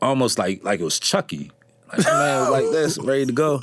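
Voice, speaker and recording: At a moderate pace, a man talks with an American accent through noticeable background noise. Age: 30s. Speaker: parks and recreation worker, podcast guest. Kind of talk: casual chat, storytelling. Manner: animated.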